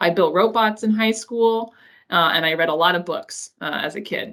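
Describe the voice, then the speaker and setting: A woman talks at a moderate pace with an American accent and lively intonation. The recording is very clean, with a silent background. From US West Coast, Los Angeles. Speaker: engineer giving a talk to school pupils. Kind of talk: presentation to school pupils. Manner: hesitant, many fillers.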